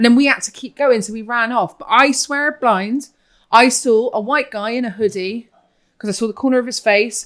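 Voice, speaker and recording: A woman speaks with a strong Bristolian accent at a fairly high pitch and ordinary pitch variation. Her pace is moderate, and the recording is very clean with a silent background. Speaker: podcast co-host. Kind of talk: casual chat. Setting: cookery school of a restaurant, filmed.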